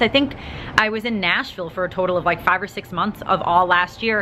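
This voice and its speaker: A woman with an American accent at a very fast pace, amid noticeable background noise. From Long Island, New York. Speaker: vlogger. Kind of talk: personal Q&A vlog. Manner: casual, filler-heavy.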